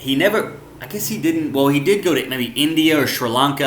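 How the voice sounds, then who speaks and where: A man's voice with audible room echo. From US South, Arkansas. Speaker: vlogger. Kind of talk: casual monologue. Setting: living room at home. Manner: fast; animated.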